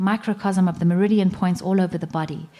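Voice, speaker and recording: A woman talks at a moderate pace in a medium pitch, her tone dark and mellow. Her intonation stays fairly even in a very clean recording with a silent background. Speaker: conference speaker on plant medicine. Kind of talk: conference talk.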